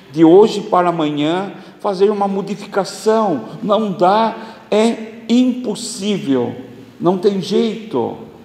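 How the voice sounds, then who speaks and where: Speaking at a very slow pace with lively intonation, a man is heard over noticeable background noise and audible room echo. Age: 60s. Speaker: spiritist lecturer. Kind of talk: religious lecture.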